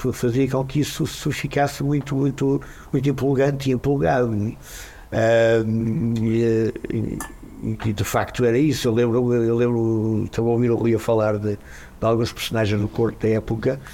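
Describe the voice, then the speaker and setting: A man speaks at a moderate pace in a normal speaking voice, with medium pitch, fairly even intonation and very even loudness. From Braga, northern Portugal. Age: 60s. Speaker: musician, singer. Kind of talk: casual chat.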